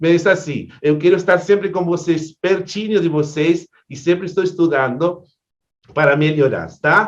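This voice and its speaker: At a fairly slow pace, a man with a high pitch speaks at a very even loudness. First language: Spanish (speaking Portuguese). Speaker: event host, astrologer. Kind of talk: online event introduction. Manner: halting, repeats words.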